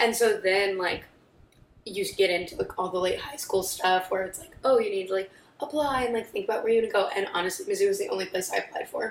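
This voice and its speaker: Noticeable background noise sits behind the speaker. A woman talks at a very fast pace. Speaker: communications intern, sports journalist. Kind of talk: casual chat.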